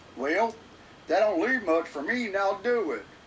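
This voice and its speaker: Over clear background noise, someone uses a fairly high-pitched, put-on character voice. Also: moderate pace. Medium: stage play. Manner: gushing, exclamatory.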